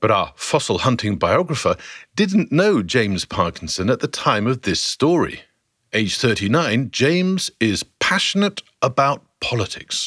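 With vocal fry and a fairly high pitch, a man speaks at a fairly slow pace, his pitch swinging very widely while his loudness stays very even, in a very clean recording with a silent background. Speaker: narrator of a historical podcast series. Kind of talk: scripted dramatic narration, storytelling. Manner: vivid, dramatic, storyteller's pacing; inviting, guiding the listener through the scene.

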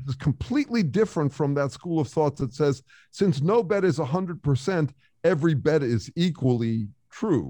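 Lively in intonation, a man speaks at a moderate pace in a fairly high pitch, his tone dark and mellow and somewhat breathy. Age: 60s. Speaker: author and researcher. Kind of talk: casual interview.

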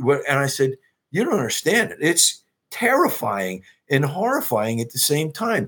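Heard in a very clean recording with a silent background, a man with an American accent speaks at a moderate pace and a fairly high pitch, making very wide pitch swings. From New Jersey. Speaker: actor. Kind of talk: casual chat.

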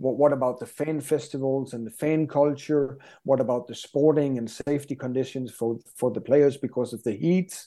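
A man with a Danish accent speaks at a moderate pace in a medium pitch, his tone dark and mellow. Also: fairly even intonation. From Denmark. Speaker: sports business expert. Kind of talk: interview.

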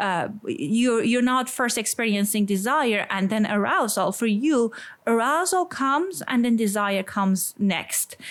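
A woman with an Iranian accent, fairly high in pitch, with lively intonation, a fairly slow pace, hardly any pauses and very even loudness. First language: Persian. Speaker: sex therapist. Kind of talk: interview conversation. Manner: halting, with fillers.

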